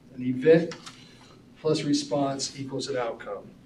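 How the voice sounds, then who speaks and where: A man with a fairly high pitch speaks at a moderate pace in a flat monotone. The room echo is audible and background noise is noticeable. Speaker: school staff presenter. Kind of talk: presentation to school board. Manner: mumbling.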